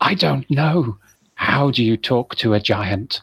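A man puts on a character voice with hissing in it. His pitch is medium and his pace is fairly slow. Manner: confused.

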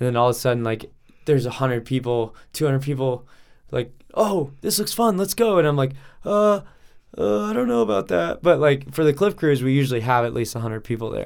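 Speaking at a fairly quick pace, a man with an American accent has a medium pitch, ordinary pitch variation, and an unremarkable speaking voice. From Colorado, Denver area. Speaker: professional cliff diver. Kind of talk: casual chat.

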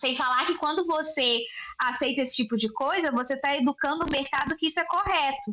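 A woman raises and projects her voice at a high pitch. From Brazil, Belo Horizonte (Minas Gerais). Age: 20s. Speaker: journalist and business owner. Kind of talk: casual interview chat.

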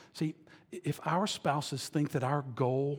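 A man's fairly high, somewhat breathy voice with an animated tone. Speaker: pastor. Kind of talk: sermon. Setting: stage with audience.

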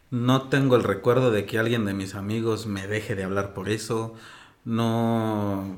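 A man of medium pitch at a fairly slow pace, with audible room echo. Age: 30s. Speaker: interview guest. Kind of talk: casual conversation.

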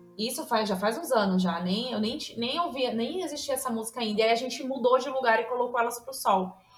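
A woman with a high pitch talks at a fairly quick pace with hardly any pauses. Noticeable background noise runs underneath. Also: ordinary pitch variation. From São Paulo state, Brazil. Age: 30s. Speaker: nutritionist, podcast listener guest. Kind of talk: casual chat.

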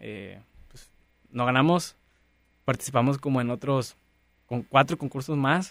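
A man talks with ordinary pitch variation. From rural Nuevo León, Mexico. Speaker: entrepreneur. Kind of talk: interview.

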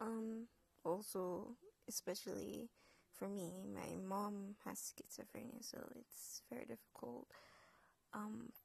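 Speaking at a very slow pace in a Jamaican accent, the voice leaves long, frequent pauses. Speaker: podcaster. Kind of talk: personal storytelling. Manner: hesitant, many fillers.

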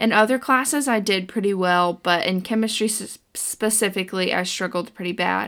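A woman uses a normal speaking voice at a medium pitch with ordinary pitch variation, at a moderate pace and with hardly any pauses. The recording is very clean with a silent background. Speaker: podcast co-host, college student. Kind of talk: casual chat.

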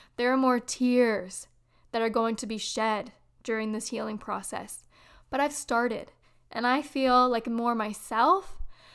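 Speaking at a fairly slow pace, a woman with a high-pitched voice comes through on a very clean recording with a silent background. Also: ordinary pitch variation. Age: 20s. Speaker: spiritual podcast host. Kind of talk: personal storytelling monologue.

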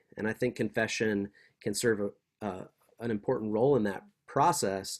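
A plain, everyday voice with an American accent speaks at a moderate pace. The recording is very clean and dry, close with no echo, over a silent background. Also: man. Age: 40s. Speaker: seminary professor. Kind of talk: interview.

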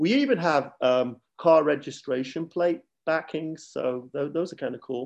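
This man speaks with a Mancunian accent. His voice is fairly high in pitch, with ordinary pitch variation. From Manchester, England. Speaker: running club president. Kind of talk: casual interview chat.

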